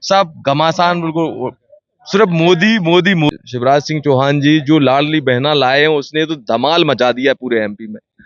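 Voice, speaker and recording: A fairly high-pitched male voice, its pitch varying in an ordinary way. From Madhya Pradesh, Datia district. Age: young. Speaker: local politician. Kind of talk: street interview. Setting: party office, on location. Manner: animated.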